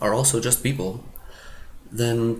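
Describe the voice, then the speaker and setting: With audible room echo, a man of medium pitch speaks at a fairly slow pace. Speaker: self-help video maker, social confidence coach. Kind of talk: casual talking-to-camera advice monologue. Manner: halting, with repeated words and false starts; informal, animated.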